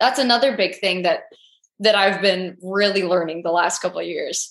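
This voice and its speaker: At a moderate pace, a woman speaks in a normal speaking voice with lively intonation. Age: 20s. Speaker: podcast host. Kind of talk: casual interview chat. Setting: video call.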